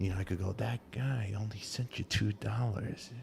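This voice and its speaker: A man with an American accent speaks in a fairly low pitch with a somewhat breathy quality. His pace is moderate and his intonation fairly even. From Brooklyn, New York (Canarsie). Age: 50s. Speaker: talk show host. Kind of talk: casual chat.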